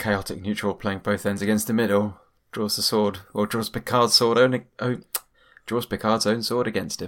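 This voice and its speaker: A man's fairly low voice at a moderate pace, monotone and flat in intonation. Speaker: podcast co-host. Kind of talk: casual chat. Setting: remote recording.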